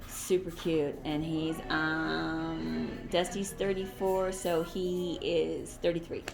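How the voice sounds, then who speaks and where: With music in the background and audible room echo, a woman speaks very slowly with hardly any pauses. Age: 60s. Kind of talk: casual interview.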